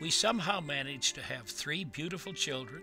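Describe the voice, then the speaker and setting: Music plays in the background as a man talks at a moderate pace. His intonation is lively. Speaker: senior storyteller, grew up on a farm. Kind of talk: personal memoir reading, digital story.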